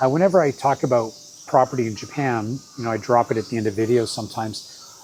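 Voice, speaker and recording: Noticeable background noise runs through the clip. Over it, a man talks at a moderate pace. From Canada, Vancouver Island. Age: 60s. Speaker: travel vlogger. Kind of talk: casual vlog talk. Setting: in Japan, summer. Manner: informal, with fillers.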